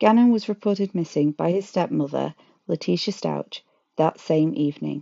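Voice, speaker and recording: A woman's fairly low, moderately paced voice, an unremarkable speaking voice. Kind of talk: true-crime narration. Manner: grave, measured storytelling tone with emotional, indignant edge.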